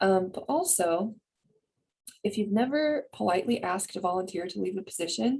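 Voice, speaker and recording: A woman's somewhat breathy, medium-pitched voice, animated in tone, with lively intonation at a moderate pace. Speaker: community coalition coordinator. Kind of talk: presentation on video call.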